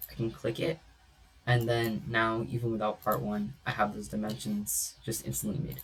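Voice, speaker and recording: Music plays in the background as the voice moves through very wide pitch swings. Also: man, fairly low pitch for a man, moderate pace. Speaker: CAD instructor. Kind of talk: tutorial. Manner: casual, filler-heavy.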